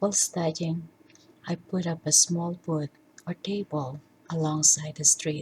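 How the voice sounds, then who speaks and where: A woman's dark, mellow, somewhat breathy voice at a fairly low pitch, monotone and flat, at a fairly slow pace with long, frequent pauses. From Philippines. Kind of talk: personal life story narration.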